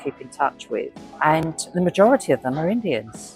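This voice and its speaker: Music plays behind a woman with an English accent and a very deep, low voice. She speaks at a fairly quick pace, her pitch swinging very widely. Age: 60s. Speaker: solo traveller. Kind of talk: interview answer.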